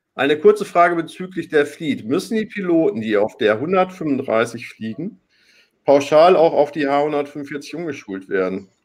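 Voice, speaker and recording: A man speaks with a fairly high pitch at a fairly slow pace. His pitch swings very widely. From Hamburg. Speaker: online talk show host. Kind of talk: live talk show moderation. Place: home room. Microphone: webcam.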